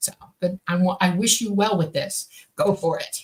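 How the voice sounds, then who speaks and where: The voice belongs to a woman and sits at medium pitch. It carries a somewhat breathy quality. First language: Swedish. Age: 60s. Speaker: radio show co-host, contactee. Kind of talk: live radio Q&A. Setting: radio studio. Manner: halting.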